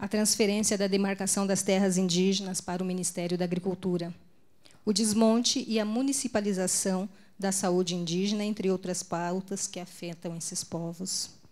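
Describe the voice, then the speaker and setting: A woman speaks in a strained, medium-pitched voice. The recording is very clean, with a silent background. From Brazil, Mato Grosso do Sul. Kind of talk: conference talk. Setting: stage at a pulpit with audience and interpreter. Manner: deliberately more restrained for the translator.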